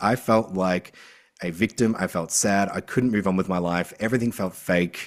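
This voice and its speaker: An Australian-accented man talks at a moderate pace in an animated tone, his fairly low pitch showing ordinary variation on a very clean recording with a silent background. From Australia, rural. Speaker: author and mental health advocate. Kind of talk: podcast interview.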